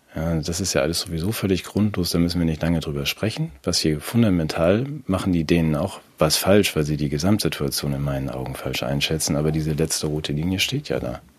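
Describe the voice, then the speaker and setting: With a very deep, low pitch, a man talks at a fairly quick pace with hardly any pauses. Noticeable background noise runs underneath. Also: ordinary pitch variation. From Germany. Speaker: podcast co-host. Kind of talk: casual political chat.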